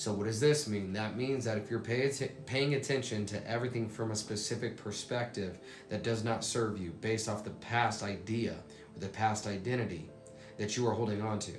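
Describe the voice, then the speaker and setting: Over noticeable background noise and audible room echo, the speaker goes at a fairly quick pace with fairly even intonation. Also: man, medium pitch for a man. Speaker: motivational speaker. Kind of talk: motivational talk.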